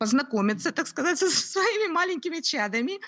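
A woman is speaking. Her pitch swings very widely. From Ukraine, Kyiv. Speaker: homeschooling mother, lawyer. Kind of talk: interview. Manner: hesitant, with fillers.

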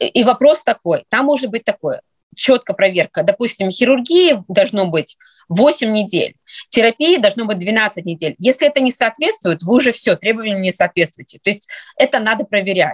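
A somewhat breathy woman's voice with lively intonation at a moderate pace, dry and close with no echo. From Russia. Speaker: psychiatry resident, former pediatrician. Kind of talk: interview. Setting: studio.

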